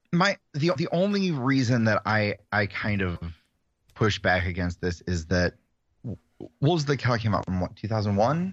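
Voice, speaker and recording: With a fairly low pitch and very wide pitch swings, a man talks at a moderate pace in a dry, close sound with no echo against a quiet background. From US Midwest, Chicago area. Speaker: podcast guest, book discussion. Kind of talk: casual chat. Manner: halting, frequent repetitions.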